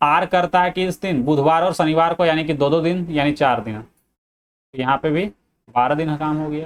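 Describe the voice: The speaker is a man with a fairly high pitch. He talks at a moderate pace.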